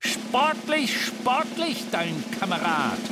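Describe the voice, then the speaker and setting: A man's put-on character voice, raspy and growling, pitched extremely high, at a very slow pace. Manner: snarling.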